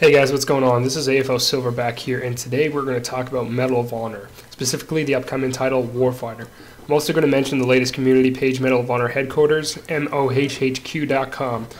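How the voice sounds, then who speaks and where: Over noticeable background noise, the speaker talks at a very fast pace. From Canada. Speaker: gaming commentator. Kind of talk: video game commentary. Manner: casual, with frequent fillers.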